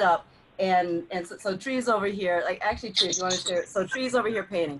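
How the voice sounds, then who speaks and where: Over noticeable background noise, a woman talks at a fairly quick pace in a medium pitch with lively intonation. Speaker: community conversation host. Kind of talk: casual chat. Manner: loud. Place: home room. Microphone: video call.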